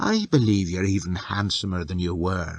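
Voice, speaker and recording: A put-on character voice, husky in tone, delivered at a moderate pace. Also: man, very deep, low pitch for a man. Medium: read story. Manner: imperious.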